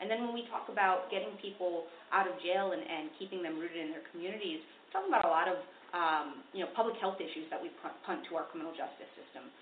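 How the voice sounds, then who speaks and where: Very fast, lively speech with an American accent, audible room echo and noticeable background noise. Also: woman, medium pitch for a woman. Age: young. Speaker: public defender and district attorney candidate. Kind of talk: interview.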